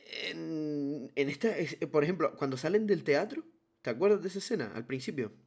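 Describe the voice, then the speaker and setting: An ordinary speaking voice, a man's at a fairly high pitch, with lively intonation and a moderate pace. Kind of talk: casual chat.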